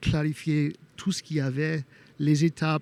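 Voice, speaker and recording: Fairly high in pitch, this man's voice has a dark, mellow tone and a slight non-native accent. The recording is very clean, with a silent background. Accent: slight foreign. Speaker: homeowner sharing renovation experience. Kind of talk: interview testimony. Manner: halting, many hesitations.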